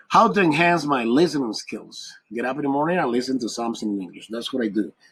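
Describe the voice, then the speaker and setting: A man with a Spanish accent, medium pitch, lively intonation and a very fast pace. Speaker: English teacher. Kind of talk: tutorial.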